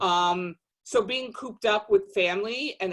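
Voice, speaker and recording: With a New Jersey accent, a woman talks at a medium pitch with ordinary pitch variation. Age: 50s. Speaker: podcast guest, social media page founder. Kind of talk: casual chat.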